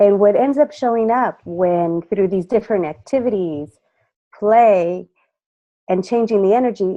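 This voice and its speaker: A woman speaks at a fairly slow pace in an unremarkable speaking voice, her medium pitch showing ordinary pitch variation. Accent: American. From California, Mexican parents. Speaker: voice and presence coach. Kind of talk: interview answers with interpretation. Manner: speaks in short phrases pausing for translation.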